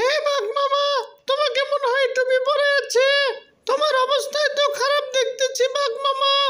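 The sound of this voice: A cartoonish character voice with extremely high pitch delivers monotone, flat intonation at a moderate pace.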